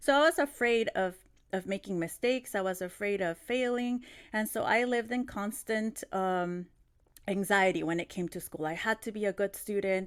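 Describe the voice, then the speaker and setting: A woman speaks in a Spanish accent at a medium pitch. The recording is very clean, with a silent background. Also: ordinary pitch variation, moderate pace. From Mexico City, Mexico, moved to California as a child. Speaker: teacher trainer. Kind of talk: conference plenary talk. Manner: hesitant, many fillers and restarts.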